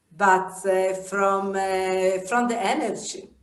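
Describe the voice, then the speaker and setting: Very slow speech from a woman, carried by audible echo in the room. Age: 70s. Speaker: yoga teacher. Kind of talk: interview. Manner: halting.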